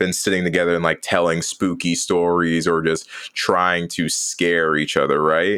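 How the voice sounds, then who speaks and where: A man's very deep, low voice with a bright, sharp tone at a moderate pace. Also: very clean recording, silent background. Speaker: podcast co-host and streamer. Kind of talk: casual chat.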